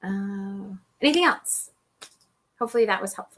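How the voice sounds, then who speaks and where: A woman speaks in a bright, sharp tone. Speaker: online publishing educator. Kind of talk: live stream Q&A. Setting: live video stream. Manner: casual, filler-heavy.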